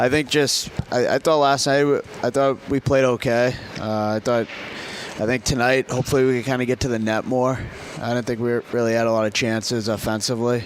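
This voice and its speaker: A man with an American accent talks at a fairly quick pace in a monotone, flat delivery, with noticeable background noise behind him. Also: medium pitch for a man. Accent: Boston accent, fading, picking up Southern. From Boston area, US. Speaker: hockey player. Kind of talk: casual interview chat. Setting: live broadcast at a venue.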